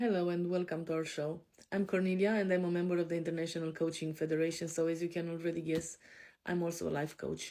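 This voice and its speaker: A woman's fairly low, dark and mellow voice at a fairly quick pace, in a very clean recording with a silent background. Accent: European. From Romania. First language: Romanian. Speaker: life coach. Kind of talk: podcast self-introduction. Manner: hesitant, frequent fillers.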